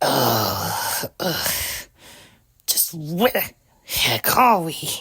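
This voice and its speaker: A put-on character voice, female-sounding and fairly low in pitch, at a very slow pace with long, frequent pauses. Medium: machinima. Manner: haughty.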